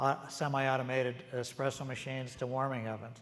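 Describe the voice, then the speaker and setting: This man has an American accent and a medium pitch, with audible room echo around him. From US Pacific Northwest, Seattle. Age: 70s. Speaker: retired coffee company executive and author. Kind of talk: on-stage interview. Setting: conference stage with audience. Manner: conversational, with fillers and repetitions.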